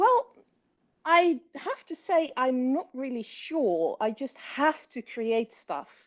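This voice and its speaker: A woman speaks with a British accent at a high pitch. Her delivery is very slow, with very wide pitch swings. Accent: British accent, learned. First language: Dutch. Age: 30s. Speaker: writer and linguist. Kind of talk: interview. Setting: podcast. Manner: hesitant, many fillers.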